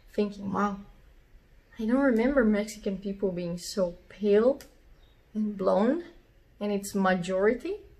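With a Portuguese accent, a woman speaks with ordinary pitch variation and long, frequent pauses. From southern Brazil. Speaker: metal drummer. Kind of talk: storytelling to camera. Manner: casual, informal. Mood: amused, relaxed. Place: home room. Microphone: phone near.

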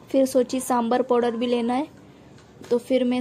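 Light background noise sits beneath speech delivered fairly slowly. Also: woman. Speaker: homemaker vlogger. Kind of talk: casual vlog chat. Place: market. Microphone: phone near.

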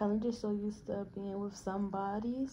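A woman talks at a moderate pace with fairly even intonation over light background noise. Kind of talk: casual vlog chat. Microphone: phone near.

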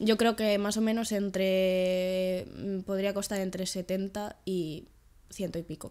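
Very slowly, a woman speaks in a dark, mellow tone. Her intonation stays monotone and flat. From Galicia, Spain (Vigo); Galicia, Spain. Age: 20s. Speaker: trampoline gymnast and sports science student; podcast guest. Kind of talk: casual interview. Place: home room.

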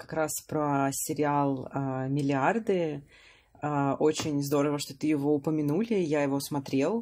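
The background stays quiet. Words come out at a very slow pace. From Russia. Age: 30s. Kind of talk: casual chat.

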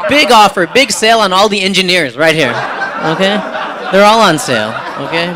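A man's raised, projected voice at a moderate pace over noticeable background noise. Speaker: stand-up comedian. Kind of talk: stand-up comedy routine. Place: cafe. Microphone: handheld.

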